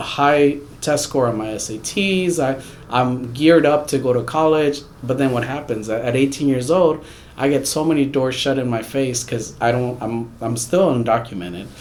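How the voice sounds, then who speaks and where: A man at medium pitch and moderate pace, ordinary pitch variation, with audible room echo and noticeable background noise. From Houston, Texas. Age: 30s. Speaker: immigrant rights advocate. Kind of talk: interview.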